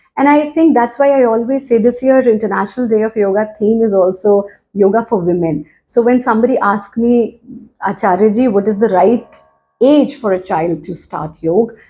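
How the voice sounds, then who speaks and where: A woman speaks in an Indian accent at a fairly high pitch, with a dark, mellow tone, ordinary pitch variation and a moderate pace. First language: Hindi. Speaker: yoga teacher. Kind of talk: interview.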